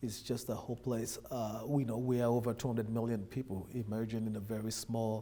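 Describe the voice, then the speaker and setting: A man speaks with a Nigerian accent at a medium pitch, his tone dark and mellow. His delivery is fairly quick and monotone, with hardly any pauses. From Nigeria, Lagos. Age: 30s. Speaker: immigrant businessman. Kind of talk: interview.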